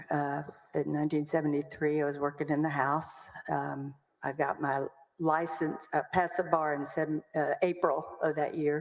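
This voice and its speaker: With a Texan accent, a woman speaks at a moderate pace in a very deep, low pitch. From Texas, Waco. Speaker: lawyer. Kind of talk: testimony.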